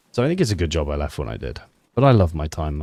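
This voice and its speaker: The man talks at a very fast pace. His pitch is very deep and low. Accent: British. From UK. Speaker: streamer and ex-army sniper. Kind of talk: live gameplay stream chat. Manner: casual, chatty.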